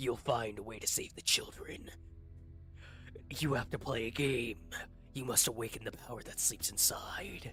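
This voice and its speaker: A put-on character voice at a low-to-middle pitch moves at a moderate pace with long, frequent pauses while clear music plays in the background. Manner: mystical, eerie.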